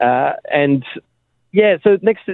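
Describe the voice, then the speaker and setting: This man speaks with an Australian accent. His intonation is lively. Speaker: app co-founder. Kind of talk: radio interview. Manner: mumbling.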